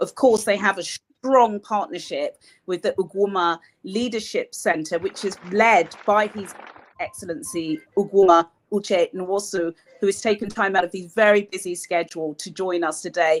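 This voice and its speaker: This is a woman with an English accent. Her voice sits at a medium pitch. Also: dry, close sound with no echo. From Nigeria. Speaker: broadcast journalist and communications consultant. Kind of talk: lecture.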